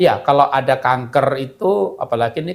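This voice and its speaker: A somewhat breathy man's voice of medium pitch at a moderate pace. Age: 60s. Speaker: health product speaker. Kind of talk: live webinar Q&A.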